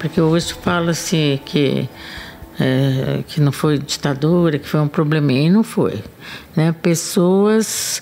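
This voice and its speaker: A woman talks very slowly in a very deep, low voice. Noticeable background noise runs underneath. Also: ordinary pitch variation. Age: 70s. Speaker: political activist. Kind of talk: testimony.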